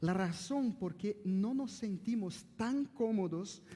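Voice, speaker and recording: A man with a Brazilian accent and ordinary pitch variation, plus audible room echo. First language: Portuguese (speaking Spanish). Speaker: pastor. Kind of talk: sermon. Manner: halting.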